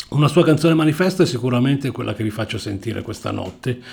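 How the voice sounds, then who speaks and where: Lively intonation in a man's fairly high-pitched, normal speaking voice. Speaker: radio DJ. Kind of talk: radio DJ patter, announcing tracks and gig news between songs. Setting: radio studio. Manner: conversational, fluent and relaxed; informative, steady announcer delivery.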